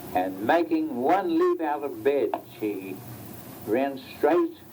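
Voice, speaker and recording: Through noticeable background noise, a man speaks at a very slow pace. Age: 80s+. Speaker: amateur photographer reading children's stories to his family. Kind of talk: children's story reading. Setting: home recording from 1975, vintage tape.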